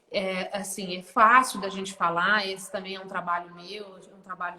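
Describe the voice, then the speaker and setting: With noticeable background noise around her, a woman speaks at a moderate pace and medium pitch in monotone, flat intonation. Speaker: therapist. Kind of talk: casual chat. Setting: livestream.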